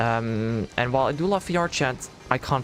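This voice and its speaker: With music in the background, a man speaks in a Dutch accent. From Netherlands. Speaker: VTuber streamer. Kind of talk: casual chat.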